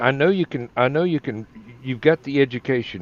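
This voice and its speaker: Recorded with a dry, close sound and no echo, a man speaks at a moderate pace in a strong Southern US accent. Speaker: online talk show co-host. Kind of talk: casual chat.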